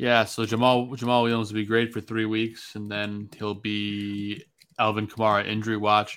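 At a moderate pace, a man with a fairly low pitch speaks in a monotone, flat intonation on a very clean recording with a silent background. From Chicago. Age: 20s. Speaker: podcast host. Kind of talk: casual chat.

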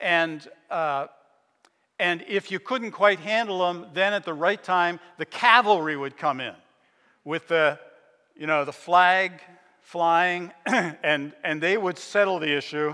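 A man speaks at a high pitch with a bright, sharp tone and ordinary pitch variation. He goes very slowly, with long, frequent pauses. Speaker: pastor. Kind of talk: sermon. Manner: halting.

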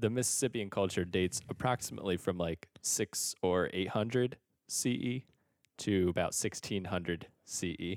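In a dry, close recording with no echo and a silent, very clean background, a man with a fairly low pitch talks at a moderate pace in a plain, everyday voice. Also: ordinary pitch variation. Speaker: podcast co-host and teacher. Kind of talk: casual banter. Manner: jokey, bantering.

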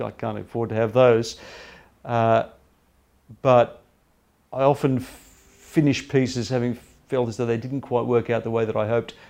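Pausing long and often, a man speaks at a moderate pace and medium pitch with monotone, flat intonation. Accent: Australian. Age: 50s. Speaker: cricket writer. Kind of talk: interview.

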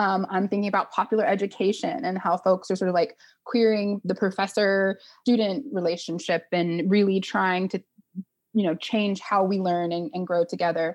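A woman with an American accent speaks in an unremarkable speaking voice at medium pitch, moderate pace and fairly even intonation against a quiet background. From Oklahoma. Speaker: nonprofit executive director. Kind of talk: interview.

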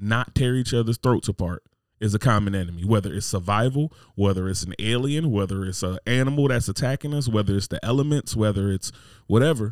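In a very clean recording with a silent background and a dry, close sound with no echo, a man with an American accent speaks at a fairly quick pace at a medium pitch with ordinary pitch variation, in an unremarkable speaking voice. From New Jersey. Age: 30s. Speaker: podcast host. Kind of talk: casual chat.

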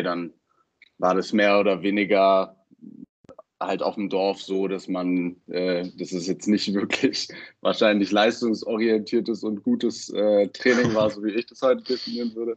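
At a fairly slow pace, a man talks in a fairly low voice with fairly even intonation. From Berlin, early childhood in Baden-Württemberg. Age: 20s. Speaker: football coach and student. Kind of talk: interview. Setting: podcast recording. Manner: hesitant, many fillers.

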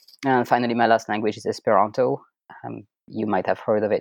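Over a quiet background, a man at medium pitch talks at a very fast pace with a French accent, the sound dry and close with no echo. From France. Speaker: French teacher. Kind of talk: interview.

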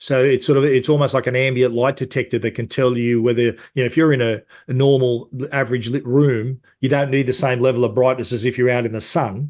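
In an Australian accent, the speaker goes at a very fast pace with monotone, flat intonation over a quiet background. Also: man, medium pitch for a man. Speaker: tech journalist. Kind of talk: casual chat.

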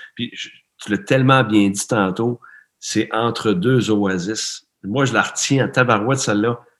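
Ordinary pitch variation marks a man's medium-pitched voice as he talks at a fairly slow pace. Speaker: performance coach, interviewer. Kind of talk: interview. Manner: animated.

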